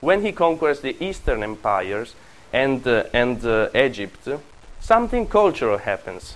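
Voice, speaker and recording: In an Italian accent, the speaker keeps a moderate pace while the pitch swings very widely. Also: man, fairly high pitch for a man. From Italy. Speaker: university lecturer on Roman history. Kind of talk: lecture. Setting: classroom with students. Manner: self-deprecating, humorous, laughs often.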